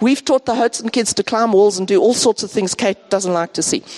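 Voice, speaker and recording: A woman's fairly high voice in a dry, close sound with no echo, over noticeable background noise. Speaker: departing church member, teacher. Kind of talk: farewell talk in church. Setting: church service.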